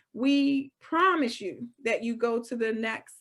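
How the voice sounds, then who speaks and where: A loud woman's voice, high in pitch. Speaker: real estate broker. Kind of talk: webinar presentation. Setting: video call. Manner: clear enunciation.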